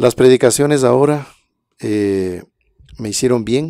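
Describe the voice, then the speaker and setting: Dark, mellow tone at a fairly slow pace, with dry sound with no echo and a quiet background. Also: man. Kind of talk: livestream talk with testimonies and prayer. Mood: calm, devotional. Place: studio. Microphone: studio mic.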